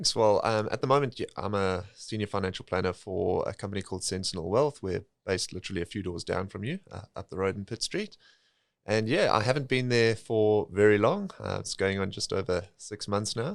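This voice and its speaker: A man speaks at a fairly quick pace with a South African accent and a fairly low pitch. The recording is very clean, with a silent background. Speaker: financial planner. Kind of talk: podcast interview.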